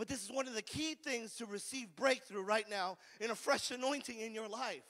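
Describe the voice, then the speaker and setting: A man with an American accent speaks in a raised, projected voice at an extremely high pitch, with a bright, sharp tone, ordinary pitch variation and a fairly quick pace over a quiet background. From California. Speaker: recovery ministry preacher. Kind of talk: call-and-response revival sermon to a live recovery group. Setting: room with live audience. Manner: fervent, repetitive, exclamatory preaching with hallelujahs; folksy, conversational, stammering restarts. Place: church. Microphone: handheld.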